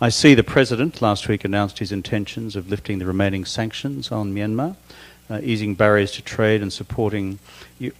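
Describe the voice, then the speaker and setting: Fairly low in pitch, a man talks in an Australian accent. His pace is fairly quick and his intonation fairly even. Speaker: interviewer. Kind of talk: onstage interview. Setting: stage with audience.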